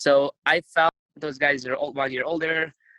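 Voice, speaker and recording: In a Ukrainian accent, a man speaks in a flat monotone with a bright, sharp tone, in a dry, close sound with no echo. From Ukraine. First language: Ukrainian or Russian. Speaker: retired wrestler. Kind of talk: interview.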